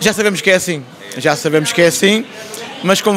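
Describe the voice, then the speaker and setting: Over crowd noise in the background, a man with an Azorean accent talks at a fairly quick pace with a high pitch. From Azores (Terceira); Azores. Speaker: folk march choreographer; interview guest. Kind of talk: interview. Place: shop. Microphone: handheld.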